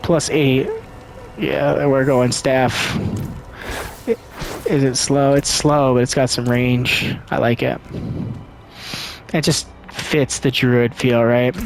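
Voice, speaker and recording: Over noticeable background noise, a man at medium pitch talks at a very slow pace with long, frequent pauses, keeping very even loudness and fairly even intonation. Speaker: gaming YouTuber. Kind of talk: let's play commentary. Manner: casual, hesitant with fillers.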